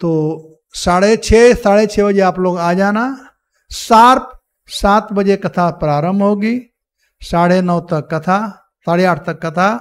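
Long, frequent pauses break up this man's very slow speech. His pitch is high, with ordinary pitch variation. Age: old. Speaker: Hare Krishna preacher giving Ramayana discourse. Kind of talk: religious discourse. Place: hall. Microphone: podium.

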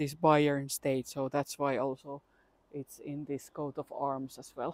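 A woman with a Finnish accent speaks at a very deep, low pitch. The recording is very clean with a silent background, and the sound is dry and close with no echo. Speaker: travel vlogger. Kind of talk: casual walking vlog. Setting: outdoors.

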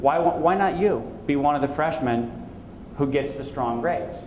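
Through noticeable background noise and audible room echo, a man speaks at a fairly high pitch and a fairly slow pace with ordinary pitch variation. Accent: American. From Indiana, US Midwest. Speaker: motivational speaker. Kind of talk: talk to student audience.

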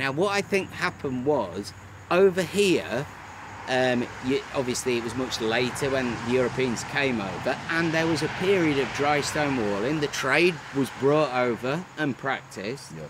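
Here a man speaks with lively intonation at a moderate pace. The sound is dry with no echo, though noticeable background noise comes through. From northern England. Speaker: stonemason. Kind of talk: casual chat. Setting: outdoors. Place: open country.

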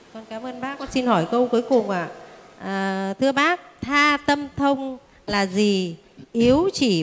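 This woman's voice sits high in pitch, with lively intonation. She speaks at a fairly slow pace. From northern Vietnam. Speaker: representative of a meditation group. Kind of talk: formal questions to teacher. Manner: polite, hesitant. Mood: polite, deferential. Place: hall. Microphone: handheld.

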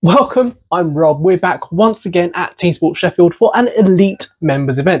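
Against a quiet background, a man talks at a moderate pace. His intonation is lively. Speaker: karting vlogger. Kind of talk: casual vlog chat. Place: home room. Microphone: lapel.

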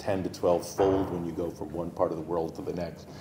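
With an American accent, a man speaks at a very deep, low pitch amid audible room echo and light background noise. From United States. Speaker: cancer geneticist. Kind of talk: lecture. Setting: stage with audience. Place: hall.

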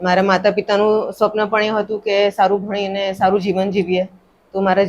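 Light background noise sits behind a woman whose medium pitch stays in monotone, flat intonation. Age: 40s. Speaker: doctor; podcast guest. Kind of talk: interview. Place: studio. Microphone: studio mic.

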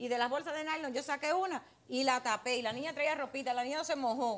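A woman talks very fast in a high voice, with ordinary pitch variation. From Cuba. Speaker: grandmother in a court case. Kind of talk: testimony. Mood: defensive, argumentative. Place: studio. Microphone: podium.

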